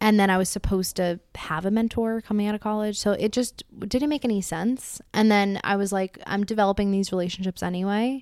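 A woman's normal speaking voice at medium pitch, fairly quick in pace, with fairly even intonation and hardly any pauses. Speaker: young professional telling a story. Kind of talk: personal storytelling to a small audience. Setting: apartment gathering with about fifteen people.

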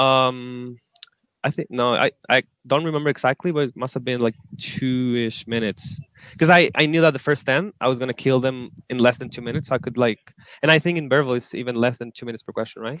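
A man speaks very fast with a Spanish accent at a medium pitch. His intonation stays fairly even. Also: dry, close sound with no echo. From northern Chile, Antofagasta. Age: 20s. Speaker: management consultant. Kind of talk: interview.

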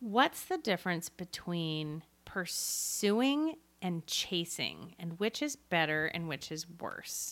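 Very slow delivery with lively intonation, on a very clean recording with a silent background. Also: woman, fairly low pitch for a woman. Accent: American. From US Pacific Northwest (Seattle area). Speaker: podcast host. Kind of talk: casual chat. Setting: in person, recording together.

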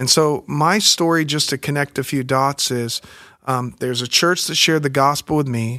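In a very clean recording over a silent background, with a dry, close sound and no echo, a man with an American accent speaks in a bright, sharp tone, his pitch fairly high and his intonation fairly even. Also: moderate pace. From US South, Pensacola Florida and small-town Alabama. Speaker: pastor. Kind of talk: interview conversation.

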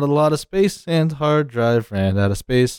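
It is a plain, everyday voice. The pace is moderate. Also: man. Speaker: podcast co-host. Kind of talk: casual chat.

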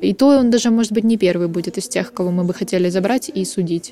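Noticeable background noise runs under a woman speaking at a moderate pace with ordinary pitch variation. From Ukraine, Odesa. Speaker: journalist, podcast co-host. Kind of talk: casual chat.

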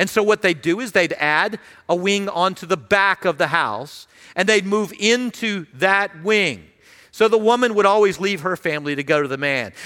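Projected and raised, a man's voice sits high in pitch, with a bright, sharp tone and ordinary pitch variation. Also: moderate pace. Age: 50s. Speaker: senior pastor. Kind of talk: sermon. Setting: church.

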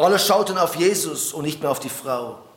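A high-pitched male voice with lively intonation at a fairly slow pace, amid noticeable background noise and audible room echo. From Switzerland. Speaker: preacher. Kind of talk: sermon.

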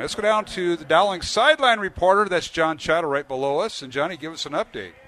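A man talks at a fairly quick pace. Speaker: radio play-by-play announcer. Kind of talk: live sports commentary. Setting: stadium broadcast. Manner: rapid play-by-play delivery, rising and excited on touchdowns; fluent, upbeat, with frequent 'uh' fillers.

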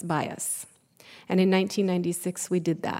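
A woman speaks at a moderate pace with a dark, mellow tone and monotone, flat intonation. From Southern California. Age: 50s. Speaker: professor and cultural center director. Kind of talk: panel talk.

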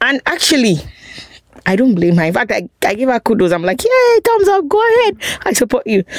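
Very wide pitch swings and a fairly quick pace in a Nigerian accent, with very even loudness and a dry, close sound with no echo. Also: woman, high pitch for a woman. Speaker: guest on immigration topics. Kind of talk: casual chat.

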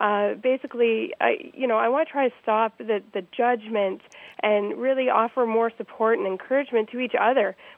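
Her pitch fairly high, a woman talks at a moderate pace in an unremarkable speaking voice. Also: ordinary pitch variation. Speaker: website founder. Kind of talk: interview. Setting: phone call.

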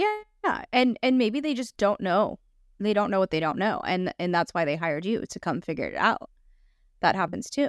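A woman with a Los Angeles accent speaks at medium pitch and a moderate pace. Her pitch swings very widely, in a dry, close sound with no echo. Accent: Los Angeles, some vocal fry. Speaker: podcast host. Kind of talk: casual interview chat.

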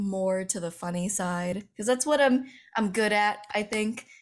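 In an American accent, a woman with a normal speaking voice talks at a fairly slow pace and a fairly high pitch. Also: very clean recording, silent background. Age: 20s. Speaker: commentary YouTuber. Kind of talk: casual chat interview.

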